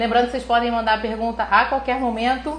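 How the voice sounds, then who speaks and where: In a room with audible echo and noticeable background noise, a woman talks in a fairly high, animated voice. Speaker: neuroradiologist teaching online. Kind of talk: live stream lecture. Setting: live stream. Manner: fast.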